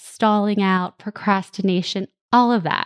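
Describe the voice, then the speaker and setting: With an American accent, a woman speaks at a moderate pace. Her pitch variation is ordinary. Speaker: podcast host, parenting coach. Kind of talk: solo podcast monologue.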